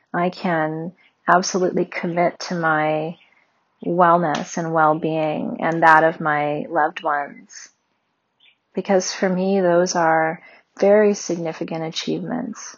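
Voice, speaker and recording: This woman has a normal speaking voice, pitched fairly low. She talks at a fairly slow pace with fairly even intonation. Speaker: meditation guide. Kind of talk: guided meditation.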